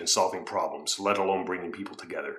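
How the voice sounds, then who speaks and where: Through noticeable background noise, a man talks in an animated tone. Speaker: political commentary youtuber. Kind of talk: opinion commentary.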